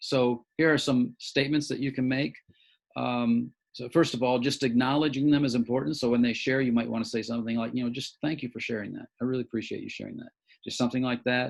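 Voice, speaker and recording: A man with a medium pitch talks at a very fast pace. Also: fairly even intonation. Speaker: church leadership trainer. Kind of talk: training session.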